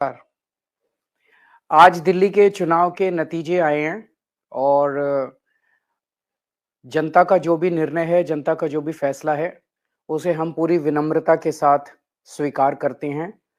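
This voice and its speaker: The recording is very clean with a silent background, as a man speaks at a fairly high pitch with fairly even intonation. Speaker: politician. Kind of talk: political concession speech.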